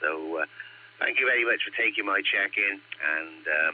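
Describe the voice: Croaky and low-pitched, a man speaks at a moderate pace with ordinary pitch variation.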